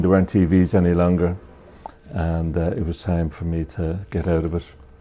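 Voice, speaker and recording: With an Irish accent, a man speaks at a fairly quick pace. His voice has a very deep, low pitch and a dark, mellow tone. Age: 70s. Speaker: retired TV repairman. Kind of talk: interview.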